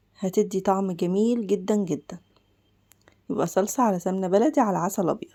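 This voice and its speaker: A woman with an Egyptian accent speaks at medium pitch in a dark, mellow tone, with ordinary pitch variation and a moderate pace, on a very clean recording with a silent background. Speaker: cooking channel host. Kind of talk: cooking tutorial. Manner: casual, chatty.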